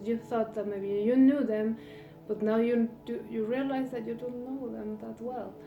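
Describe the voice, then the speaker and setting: With music in the background and audible room echo, a woman with a non-native accent speaks at a fairly slow pace and a fairly high pitch, using ordinary pitch variation. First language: not English. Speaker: tarot reader. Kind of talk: tarot reading monologue. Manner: halting, many fillers.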